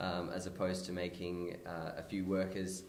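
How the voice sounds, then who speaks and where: A man with a very deep, low pitch and audible room echo. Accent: Australian. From Australia, NSW south coast (Merimbula). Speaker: small business owner. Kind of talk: interview. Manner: hesitant, many fillers.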